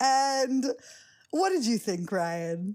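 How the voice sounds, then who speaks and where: On a very clean recording with a silent background, a woman with an American accent swings her pitch very widely. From US, New York. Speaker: podcast host. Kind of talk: casual chat.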